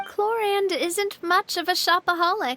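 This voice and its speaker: Putting on a squeaky character voice, a woman speaks at an extremely high pitch with a warm tone and a moderate pace, in a dry, close sound with no echo. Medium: video game. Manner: warm, bright.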